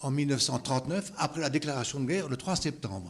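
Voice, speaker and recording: A man with a fairly high pitch sounds somewhat breathy and uses lively intonation. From Lorraine, France (Moselle). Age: 80s+. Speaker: evacuation witness. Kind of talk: interview testimony.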